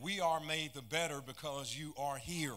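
A man talks at a moderate pace in a bright, sharp tone. His intonation stays fairly even. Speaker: pastor. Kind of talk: sermon. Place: church. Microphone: handheld.

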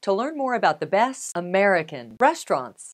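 Her pitch swings very widely as this woman talks at a fairly quick pace. The background is quiet. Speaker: presenter. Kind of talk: scripted presenter intro. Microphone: lapel.

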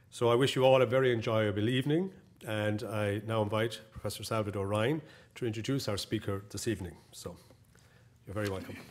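With an Irish accent, a man speaks fairly quickly at a fairly low pitch, his intonation fairly even. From Ireland. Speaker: college president; clergyman hosting a lecture. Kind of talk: welcome speech. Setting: lecture hall with audience. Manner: halting. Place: hall. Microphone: podium.

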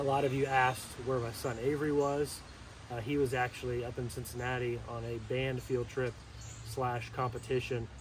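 A man talks with monotone, flat intonation. The sound is dry with no echo, though there is noticeable background noise. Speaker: RC hobby channel host. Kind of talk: casual vlog chat. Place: waterside. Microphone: camera far.

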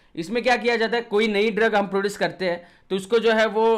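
A man speaks in an animated tone. The background is quiet. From India. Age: 20s. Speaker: online biology teacher. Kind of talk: lecture.

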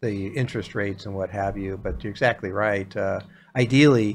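A man talks in an unremarkable speaking voice with fairly even intonation. There is light background noise. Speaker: financial advisor host. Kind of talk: talk show explanation. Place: studio. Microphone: studio mic.

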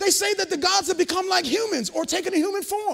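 In a quiet background, a man speaks in an animated tone. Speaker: preacher. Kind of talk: sermon. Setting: church. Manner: animated, call-and-response, building to a crescendo; loud, fervent. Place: hall.

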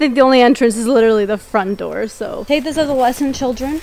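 Delivered at a fairly quick pace with ordinary pitch variation, the sound is dry with no echo. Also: woman. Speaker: vlogger. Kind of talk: casual vlog chat. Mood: excited, slightly nervous. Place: street. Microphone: phone near.

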